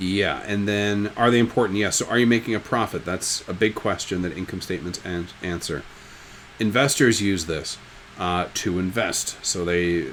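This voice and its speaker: Against noticeable background noise, a man speaks at a fairly low pitch with ordinary pitch variation. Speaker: high school business teacher. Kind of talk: recorded lecture. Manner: fast; casual, joking.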